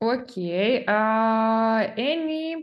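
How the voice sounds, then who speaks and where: A woman's fairly high voice with very wide pitch swings, in a Ukrainian accent. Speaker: English teacher. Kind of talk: language lesson.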